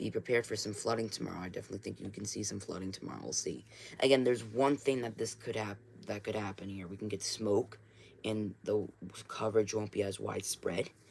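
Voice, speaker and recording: Talking at a very fast pace, a man uses vocal fry, a fairly low pitch and fairly even intonation. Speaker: amateur weather streamer. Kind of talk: live stream weather briefing. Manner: casual, filler-heavy.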